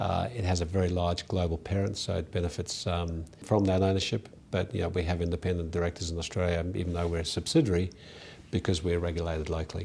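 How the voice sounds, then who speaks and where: A man with a very deep, low pitch talks at a very fast pace. His delivery is monotone and flat, and somewhat breathy. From South Africa. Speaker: company director. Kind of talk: interview. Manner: halting with frequent fillers.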